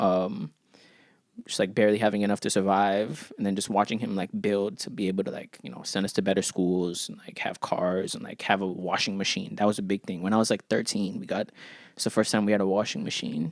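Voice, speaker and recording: A man with an American accent and a plain, everyday voice speaks at a fairly low pitch and fairly quick pace, his intonation fairly even amid big swings in loudness. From Ghana. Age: 30s. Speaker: rapper. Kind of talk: casual chat.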